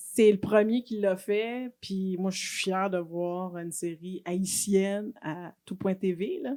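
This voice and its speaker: At a very slow pace and with hardly any pauses, a woman speaks in a dark, mellow tone. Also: medium pitch for a woman. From Quebec, Haitian family. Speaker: politician and nurse. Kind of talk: casual chat. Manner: animated.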